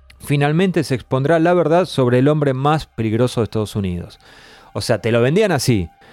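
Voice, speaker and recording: A man's medium-pitched voice with an Argentine accent, fairly quick in pace and lively in intonation. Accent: Argentine Spanish (Rioplatense). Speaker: podcast host. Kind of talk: casual chat.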